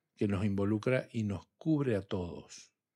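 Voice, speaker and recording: On a very clean recording with a silent background, a man with an unremarkable speaking voice talks at a fairly slow pace with lively intonation. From Argentina, southern Santa Fe province. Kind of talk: religious discussion.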